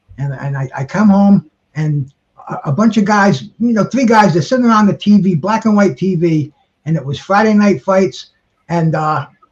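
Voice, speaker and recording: Music plays in the background. The speech moves at a moderate pace with lively intonation. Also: man, high pitch for a man. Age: 60s. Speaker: panelist on boxing talk show. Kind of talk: casual group chat. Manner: halting, many repeated words.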